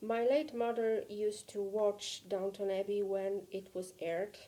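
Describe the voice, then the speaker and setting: In a Polish accent, a woman speaks fairly slowly at medium pitch, her tone dark and mellow and her intonation fairly even. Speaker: vlogger. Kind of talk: personal vlog.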